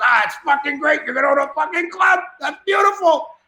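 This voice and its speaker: A put-on character voice shouts at a high pitch. The pace is fairly quick. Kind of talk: crude, rough.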